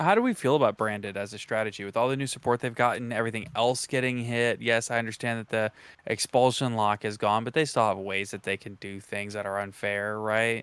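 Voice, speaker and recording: With hardly any pauses, a man talks at a fairly quick pace and medium pitch in a normal speaking voice. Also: fairly even intonation. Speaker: podcast host. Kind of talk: casual chat.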